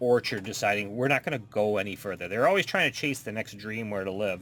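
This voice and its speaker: A man with an unremarkable speaking voice talks at a fairly low pitch and with ordinary pitch variation. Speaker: podcast co-host. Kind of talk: casual chat.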